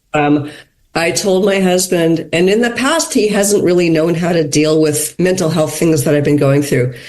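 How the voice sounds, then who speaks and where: A woman speaks with an American accent in a fairly low pitch, using ordinary pitch variation. Her moderate pace carries audible room echo. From USA. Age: 60s. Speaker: podcast guest. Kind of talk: casual chat.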